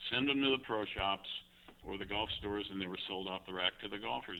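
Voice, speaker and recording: The man's pitch is fairly low, with ordinary variation. He uses a normal speaking voice at a fairly quick pace. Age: 60s. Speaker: golf club designer. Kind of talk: interview. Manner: many fillers (you know, um).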